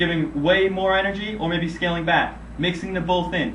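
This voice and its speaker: A man's high-pitched voice carries audible room echo. Noticeable background noise runs underneath. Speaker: medical sales rep. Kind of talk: self-critique video monologue. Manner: monotone.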